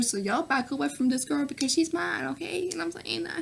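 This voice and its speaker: A woman talks with a Southern US accent. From US South, Nashville, Tennessee. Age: 20s. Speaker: YouTuber. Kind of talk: Q&A vlog. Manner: animated.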